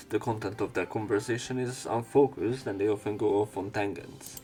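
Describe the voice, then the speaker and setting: A man speaks at a moderate pace with fairly low pitch and ordinary pitch variation. Music plays in the background. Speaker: let's play commentator and narrator. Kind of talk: reading visual novel text aloud with brief commentary.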